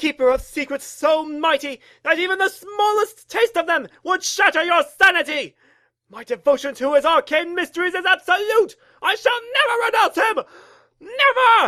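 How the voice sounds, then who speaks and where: A put-on character voice sits at an extremely high pitch. It moves at a moderate pace. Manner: pompous, shouting.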